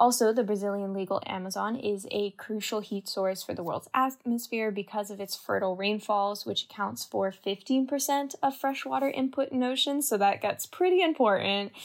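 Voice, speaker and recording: An unremarkable speaking voice, a woman's with a Canadian accent, runs at a moderate pace with hardly any pauses, fairly high in pitch with ordinary pitch variation. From Canada. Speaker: university student. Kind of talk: podcast discussion.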